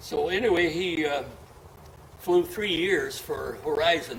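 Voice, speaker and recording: A man speaks in a high pitch with lively intonation over noticeable background noise. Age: 80s+. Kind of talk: casual conversation, storytelling.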